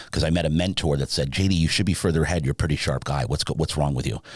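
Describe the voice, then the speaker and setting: The tone is animated, in a New Jersey accent. Noticeable background noise sits behind it. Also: man. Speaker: sleep business owner. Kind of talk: podcast interview.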